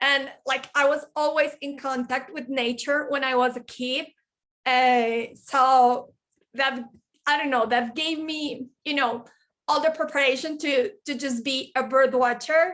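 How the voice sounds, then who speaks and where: With a Spanish accent, a woman uses a high pitch and fairly even intonation at a fairly slow pace. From Colombia, Medellin. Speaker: bird conservationist and forestry engineer. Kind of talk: presentation. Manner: halting.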